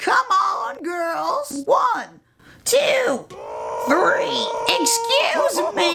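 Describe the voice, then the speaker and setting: A cartoonish character voice at an extremely high pitch, very slow in pace, with long, frequent pauses. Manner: fussy, complaining.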